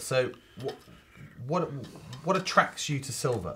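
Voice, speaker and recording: A man talks while background noise is noticeable throughout. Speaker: charity auctioneer and valuer. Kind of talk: interview host introducing a guest on an antiques show.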